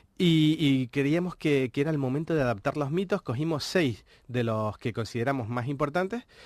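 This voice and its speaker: Lively intonation from a man with a fairly high voice, at a moderate pace. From Canary Islands. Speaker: book editor and game book creator. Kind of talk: interview. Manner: halting, many fillers and repetitions.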